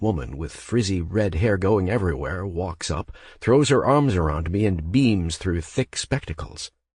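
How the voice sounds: Lively intonation in a natural reading voice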